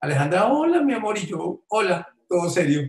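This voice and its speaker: A man talks in a high voice, with audible room echo around it. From Colombia, Tolima; Colombia. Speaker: businessman, COVID survivor; interviewee. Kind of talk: testimony. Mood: grateful, emotional recollection. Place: home room. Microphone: webcam.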